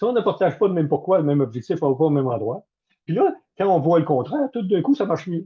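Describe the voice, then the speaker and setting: A man's high voice at a very fast pace. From Canada. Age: 70s. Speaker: management consultant and former military officer. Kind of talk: webinar talk. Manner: direct.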